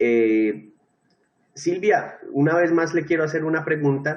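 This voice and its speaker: At a rather unhurried pace, a man speaks, his pitch varying in a typical way. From Colombia. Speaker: teacher. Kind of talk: lecture.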